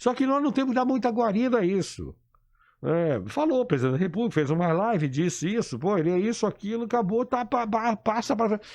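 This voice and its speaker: Over a quiet background, a man with a high-pitched voice talks at a fairly quick pace, his intonation lively and his loudness very even. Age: 60s. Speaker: engineer and political activist. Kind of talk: radio interview. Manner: animated.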